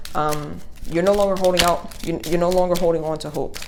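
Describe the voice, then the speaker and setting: A woman speaks in a very deep, low voice with vocal fry. Audible room echo surrounds her. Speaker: tarot reader. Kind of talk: tarot reading to camera. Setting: home video recording, speaker behind the camera. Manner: fast; casual with many fillers.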